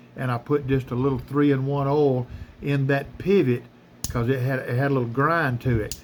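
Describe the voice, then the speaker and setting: This man speaks in a Southern US accent at a fairly high pitch. His tone is relaxed. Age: 60s. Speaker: knife collector YouTuber. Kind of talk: casual tutorial. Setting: workshop. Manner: relaxed, halting with fillers.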